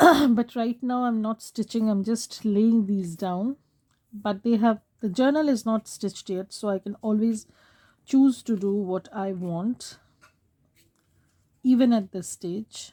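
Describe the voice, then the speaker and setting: A woman speaks with ordinary pitch variation and a somewhat breathy voice. Her speech has long, frequent pauses. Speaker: craft video maker. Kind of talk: tutorial. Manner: casual, halting.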